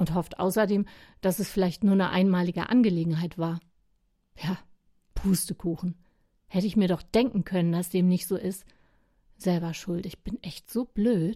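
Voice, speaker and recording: Recorded very cleanly with a silent background, a woman speaks at a moderate pace in a somewhat breathy, dark, mellow voice of medium pitch, with fairly even intonation and long, frequent pauses. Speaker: radio devotional columnist. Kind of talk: scripted personal monologue.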